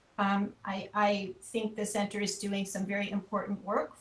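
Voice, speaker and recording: A woman with an American accent speaks at a medium pitch amid noticeable background noise. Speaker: anthropology researcher. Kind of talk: webinar presentation. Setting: video call. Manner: deliberately not too fast.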